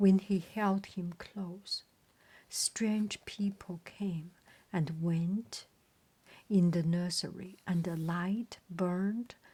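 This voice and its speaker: A woman speaks very slowly with a non-native accent, her tone dark and mellow. Her voice is somewhat breathy, and her intonation stays fairly even. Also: medium pitch for a woman. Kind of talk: bedtime story reading. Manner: soft-spoken, slow.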